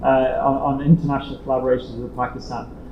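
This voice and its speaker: A man talks with an Irish accent. Noticeable background noise can be heard. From Ireland. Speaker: international organization director. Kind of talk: conference speech. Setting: hybrid roundtable, in-person audience and online call. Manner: repetitive false starts.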